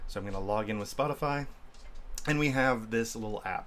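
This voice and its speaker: A man with an American accent, fairly low in pitch, with ordinary pitch variation, a moderate pace and audible room echo. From Indiana, US Midwest. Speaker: developer advocate, stream co-host. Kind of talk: casual livestream chat and coding demo. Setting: livestream with screen sharing.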